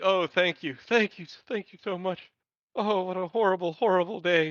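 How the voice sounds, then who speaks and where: Using a put-on character voice, a man speaks high for a man at a moderate pace. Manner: effusive, grateful, wailing.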